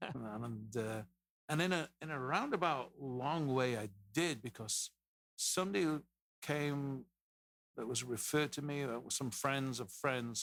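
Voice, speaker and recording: A man's fairly slow speech in a strong English accent, with ordinary pitch variation and long, frequent pauses. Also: medium pitch for a man, very clean recording, silent background. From England, Leeds (Yorkshire). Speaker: real estate team founder. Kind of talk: podcast interview. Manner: casual, conversational.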